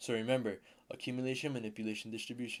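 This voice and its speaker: A man speaks, and his intonation is fairly even. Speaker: trading mentor. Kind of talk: tutorial. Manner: halting, self-correcting.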